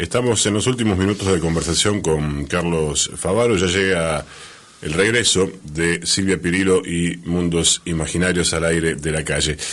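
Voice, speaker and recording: Over noticeable background noise, a man with an Argentine accent speaks in a very deep, low pitch with ordinary pitch variation. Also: moderate pace. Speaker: radio host. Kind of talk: radio interview.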